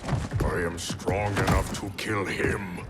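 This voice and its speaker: Over loud background noise, a man uses a cartoonish character voice with fairly low pitch at a very slow pace. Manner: stern, proud.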